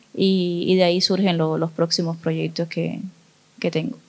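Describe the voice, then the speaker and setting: A woman speaks in a Cuban accent at a moderate pace. Her intonation stays fairly even. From Cuba, Cienfuegos. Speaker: visual artist. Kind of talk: interview. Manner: halting, many fillers.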